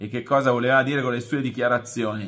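A man's voice with a bright, sharp tone. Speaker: sports journalist. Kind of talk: casual chat.

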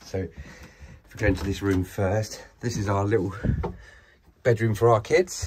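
Over light background noise, a man with a fairly low, somewhat breathy voice speaks at a fairly slow pace with ordinary pitch variation. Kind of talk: casual vlog chat. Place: boat. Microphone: phone near.

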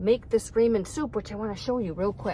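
Over light background noise, a woman talks at a fairly quick pace with ordinary pitch variation, the sound dry with no echo. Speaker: van dweller vlogger. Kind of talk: casual vlog chat. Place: car. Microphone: phone near.

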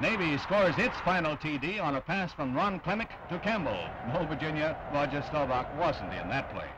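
Against noticeable background noise, a man talks at a moderate pace with hardly any pauses. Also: ordinary pitch variation. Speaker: newsreel narrator. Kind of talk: newsreel sports narration. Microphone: old recording.

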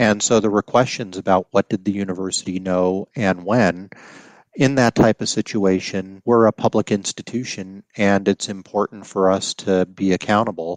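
An unremarkable speaking voice with an American accent moves at a moderate pace with fairly even intonation, recorded dry and close with no echo against a quiet background. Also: man, fairly low pitch for a man. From Colorado. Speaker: university executive and lawyer. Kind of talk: interview.

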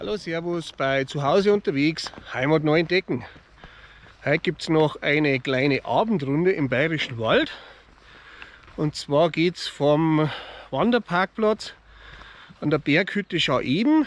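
A man speaks at a fairly slow pace with long, frequent pauses and ordinary pitch variation, and the sound is dry with no echo. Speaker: hiking vlogger. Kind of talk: casual vlog chat. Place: forest. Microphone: phone near.

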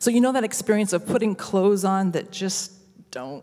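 The background is quiet. A woman talks at a medium pitch. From US Midwest, Nebraska. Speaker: worship reflection speaker, singer; speaker. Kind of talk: sermon-style reflection. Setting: worship service. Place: hall. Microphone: handheld.

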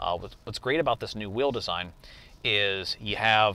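A plain, everyday voice from a man, fairly low in pitch, at a fairly quick pace, with dry sound and no echo. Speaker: car salesman. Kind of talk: product review commentary. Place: car.

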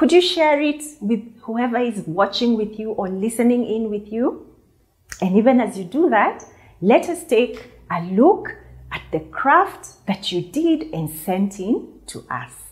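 A woman speaks at a fairly slow pace. Her voice moves in very wide pitch swings. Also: big swings in loudness, quiet background. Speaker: children's church teacher. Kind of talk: lesson to children. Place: studio. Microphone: lapel.

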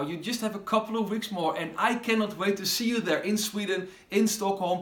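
A man with a high voice speaks at a moderate pace amid audible room echo. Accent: Dutch. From Netherlands. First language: Dutch. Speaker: pastor. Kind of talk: promotional video message. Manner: animated. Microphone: phone near.

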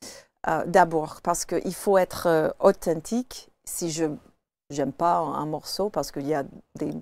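Speaking at a fairly slow pace, a woman with a fairly low voice leaves long, frequent pauses. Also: ordinary pitch variation, dry sound with no echo. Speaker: jazz singer; talk show guest. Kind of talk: casual chat. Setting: studio. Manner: halting. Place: studio.

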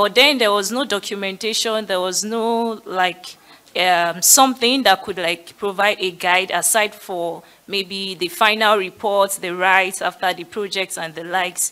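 A bright, sharp tone at a fairly slow pace, with fairly even intonation. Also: woman. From Nigeria. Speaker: education community leader; panelist. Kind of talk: panel discussion. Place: hall. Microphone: podium.

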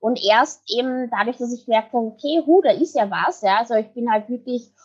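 With lively intonation, a woman speaks at a moderate pace and a fairly high pitch. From Vienna, Austria. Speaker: branding and PR expert. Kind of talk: podcast interview answer. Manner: upbeat.

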